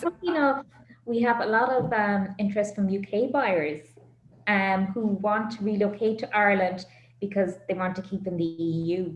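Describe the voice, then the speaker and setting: Medium in pitch and somewhat breathy, a woman's voice shows ordinary pitch variation. She keeps a moderate pace. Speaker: auctioneer. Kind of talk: business interview answer.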